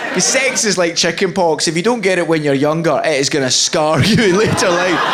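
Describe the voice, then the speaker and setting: A man with a Scottish accent, high-pitched and fairly quick, at very even loudness amid noticeable background noise. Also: ordinary pitch variation. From Scotland. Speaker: stand-up comedian. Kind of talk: stand-up. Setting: stage with audience.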